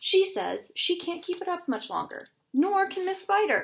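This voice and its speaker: Loud and extremely high-pitched, a woman performs a put-on character voice with lively intonation. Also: moderate pace. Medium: read story. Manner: loud, brash.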